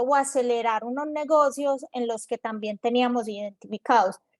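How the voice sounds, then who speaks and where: Speaking at a moderate pace with a Medellín accent, a woman's high voice keeps a fairly even intonation in a dry, close sound with no echo on a very clean recording with a silent background. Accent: Medellín (paisa). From Colombia, Medellín. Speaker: corporate innovation executive. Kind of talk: panel discussion.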